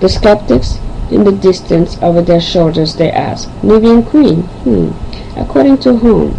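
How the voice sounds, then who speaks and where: Over noticeable background noise, a woman talks at a fairly slow pace in a fairly low pitch, her loudness very even while her pitch swings very widely. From Haiti / Angola, lived in Africa, Europe, Caribbean. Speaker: poet and video host. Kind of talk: self-introduction then poetry reading.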